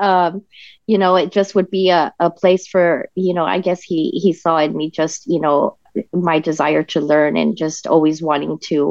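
A woman with a plain, everyday voice, fairly low pitch and an American accent. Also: moderate pace. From Denver, Colorado. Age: 40s. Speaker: political party state director. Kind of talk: interview.

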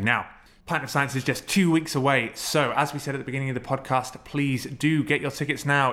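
A man with a London accent, a bright, sharp tone, medium pitch and a very fast pace. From North London. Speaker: podcast host. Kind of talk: casual interview.

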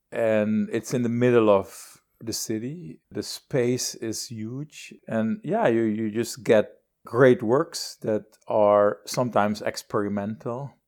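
A man speaks very slowly, and the recording is very clean with a silent background. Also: medium pitch for a man, ordinary pitch variation. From Suriname. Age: 60s. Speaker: visual artist. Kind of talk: interview. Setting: artist's studio.

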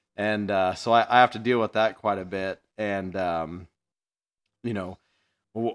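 A man talks at a fairly slow pace with an American accent. The recording is very clean, with a silent background. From US Midwest, central Illinois. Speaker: podcast host, tool dealer. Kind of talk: casual chat.

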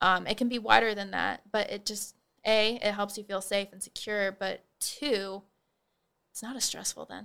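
A woman with an American accent speaks at medium pitch and a moderate pace, her tone bright and sharp. Her intonation stays monotone and flat while her loudness swings widely. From Nebraska, Holdrege. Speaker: college student and peer financial counselor. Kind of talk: interview. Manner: articulate.

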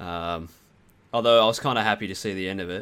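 A man with an Australian accent speaks at a very fast pace with fairly even intonation. The recording is very clean, with a silent background. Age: 20s. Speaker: gaming podcast guest. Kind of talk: casual chat.

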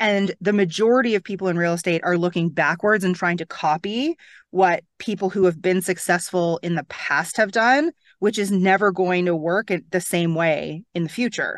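Against a quiet background, with a dry, close sound and no echo, a woman with a normal speaking voice and a Canadian accent talks at a moderate pace and medium pitch with ordinary pitch variation. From Toronto, Canada. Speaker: real estate coach. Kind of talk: interview.

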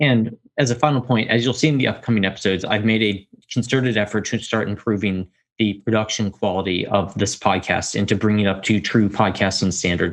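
A man's fairly low-pitched voice, a normal speaking voice, fairly quick in pace, with fairly even intonation and very even loudness. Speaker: podcast host. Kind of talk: casual solo update. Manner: informal, filler-heavy.

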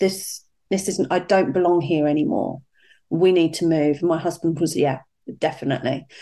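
In a British accent, a woman speaks at a moderate pace with a dark, mellow tone, a fairly low pitch, fairly even intonation and very even loudness. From UK. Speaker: life coach. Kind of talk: interview.

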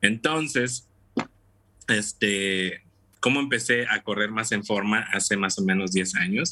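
Speaking very slowly, a man with a fairly low pitch and a bright, sharp tone keeps his loudness very even and his pitch variation ordinary. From Mexico, Tampico, Tamaulipas. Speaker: amateur runner. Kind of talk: casual interview. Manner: halting.

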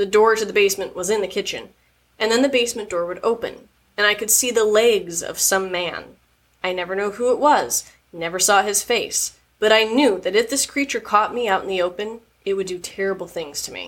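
A woman's voice sits at a fairly high pitch, with ordinary variation. She moves at a fairly quick pace. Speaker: podcast host reading stories. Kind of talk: reading aloud horror narration, in a hushed, suspenseful storytelling voice. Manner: playful, laughing, casual banter outside the stories.

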